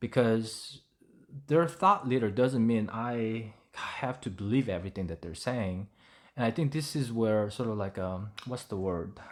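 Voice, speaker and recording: A Korean accent at a fairly slow pace, with ordinary pitch variation, in a very clean recording with a silent background. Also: man, medium pitch for a man. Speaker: English learning YouTuber. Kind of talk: tutorial. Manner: halting, with many fillers.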